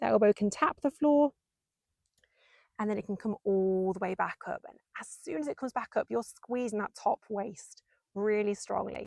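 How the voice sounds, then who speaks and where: This woman's voice sits at a fairly high pitch. Her intonation is lively. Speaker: Pilates instructor. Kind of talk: workout instruction. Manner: slow, controlled pace; encouraging, rhythmic counting.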